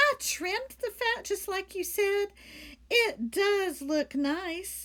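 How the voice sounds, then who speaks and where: In a squeaky, put-on character voice, the speaker goes at a very slow pace with very wide pitch swings. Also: woman, extremely high pitch for a woman. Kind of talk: bedtime story. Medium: read story. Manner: earnest, innocent.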